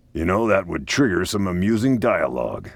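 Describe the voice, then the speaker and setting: Putting on a growling character voice, a man speaks at a fairly quick pace and a fairly low pitch. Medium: video game. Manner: dry, teasing.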